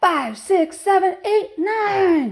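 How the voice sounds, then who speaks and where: Pitching her voice extremely high, a woman performs a put-on character voice. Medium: read story.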